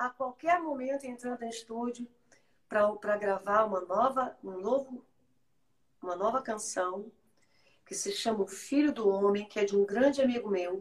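Pausing long and often, a woman talks at a moderate pace with a fairly high pitch and ordinary pitch variation. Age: 50s. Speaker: pastor and worship singer. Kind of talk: testimony. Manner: animated.

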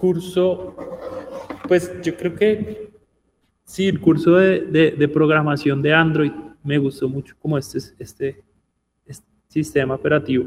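Speaking at a fairly slow pace, a man uses a fairly high pitch with ordinary pitch variation. Long pauses come often. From Bogotá, Colombia. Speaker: tech education entrepreneur. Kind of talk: radio interview.

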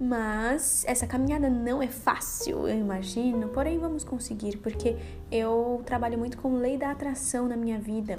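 Amid noticeable background noise and audible room echo, a woman speaks at a moderate pace in a high pitch with ordinary pitch variation. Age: 20s. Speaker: camera assistant. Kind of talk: personal monologue.

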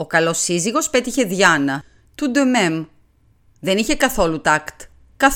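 Someone does plain reading aloud in this clip.

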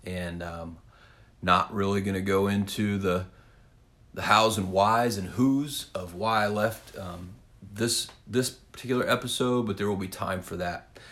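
A man with a Midwestern American accent speaks at a fairly slow pace. His pitch is fairly low and his intonation fairly even. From Kansas (south central, small town). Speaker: podcast host, former teacher turned real estate agent. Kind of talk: solo podcast monologue. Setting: home office. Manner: casual with frequent fillers (um, kinda).

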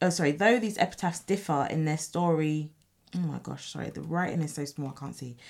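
Talking at a fairly quick pace in a normal speaking voice, a woman shows ordinary pitch variation and big swings in loudness. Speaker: radio co-host and English teacher. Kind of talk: radio DJ co-host banter, casual and conversational chat. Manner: relaxed, chatty and jokey, with laughter and teasing.

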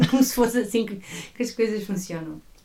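A woman with a Porto accent at a fairly quick pace. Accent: northern Portuguese (Porto). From northern Portugal, Porto area. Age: 20s. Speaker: church worker, former teacher. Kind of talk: casual chat.

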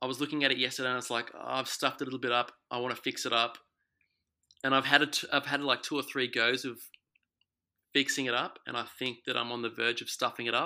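With an Australian accent, a man at medium pitch talks very fast in a bright, sharp tone and a monotone, flat intonation, on a very clean recording with a silent background. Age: 30s. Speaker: self-taught oil painter. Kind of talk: interview. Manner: halting.

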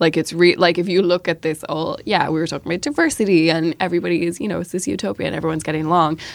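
With a Dublin accent, a woman speaks at a very fast pace with hardly any pauses, her fairly low pitch showing ordinary variation. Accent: Irish, south Dublin. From Ireland, Dublin. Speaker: journalist. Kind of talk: casual chat.

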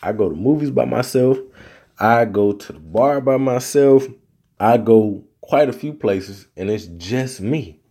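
With an American accent, a man speaks at a medium pitch and a fairly slow pace, his intonation lively. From US South. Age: 30s. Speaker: podcast host. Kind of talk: casual solo podcast monologue.

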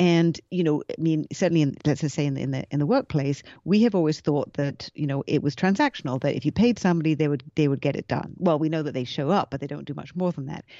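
A woman with a British accent talks at a very fast pace with hardly any pauses. Her very deep, low pitch shows ordinary variation. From England. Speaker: future of work consultant. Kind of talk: casual interview chat.

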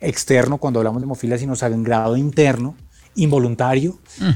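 A man talks at a medium pitch. He has a plain, everyday voice. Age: 40s. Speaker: sound engineer and composer. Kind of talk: testimony.

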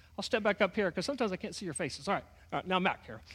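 A man's raised, projected voice with a bright, sharp tone on a very clean recording with a silent background. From Texas. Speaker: pastor. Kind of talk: sermon. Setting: church.

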